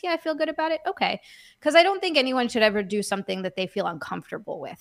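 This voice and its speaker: Very clean recording, silent background, and a woman talking at a very fast pace. Her bright, sharp tone carries vocal fry and lively intonation. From Hawaii. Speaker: content creator. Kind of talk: casual chat.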